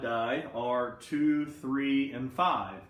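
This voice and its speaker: A man's voice has ordinary pitch variation, and audible room echo surrounds it. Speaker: math teacher. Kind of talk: recorded lesson for students. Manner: casual, conversational. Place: classroom. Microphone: camera far.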